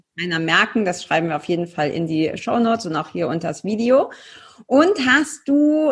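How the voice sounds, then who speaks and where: A woman's somewhat breathy, medium-pitched voice carries lively intonation in a very clean recording with a silent background. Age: 30s. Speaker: podcast host and coach. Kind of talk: casual interview.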